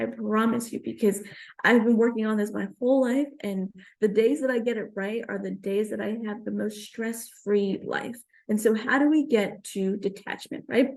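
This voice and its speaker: A woman speaks with a New York accent at a moderate pace. Her pitch is fairly high and her intonation fairly even. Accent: New York American. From Queens, New York. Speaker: stand-up comedian. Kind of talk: comedic spiritual talk.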